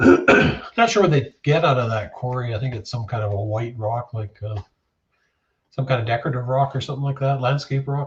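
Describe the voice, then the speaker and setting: With a Canadian accent, a man talks in a relaxed, somewhat breathy tone at a fairly quick pace and medium pitch, with ordinary pitch variation. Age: 60s. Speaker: livestreamer. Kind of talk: casual chat. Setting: shed. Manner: relaxed, hesitant with many fillers.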